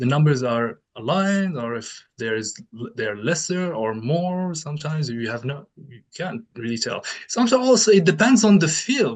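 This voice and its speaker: With a non-native accent, a man speaks at a moderate pace and a fairly high pitch, his pitch swinging very widely and his loudness shifting a lot. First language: not English. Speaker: researcher and keynote speaker. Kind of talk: conference Q&A. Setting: conference with audience. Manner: halting.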